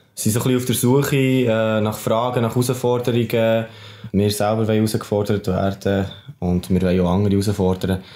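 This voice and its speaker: Against noticeable background noise, a man with a Swiss accent talks at a fairly quick pace in a fairly low pitch with fairly even intonation. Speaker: podcast host. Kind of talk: podcast intro.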